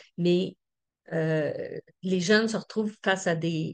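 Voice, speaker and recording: Against a quiet background, a woman talks at a fairly slow pace with fairly even intonation and a medium pitch. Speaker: community organization representative. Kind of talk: conference presentation. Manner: halting with many fillers.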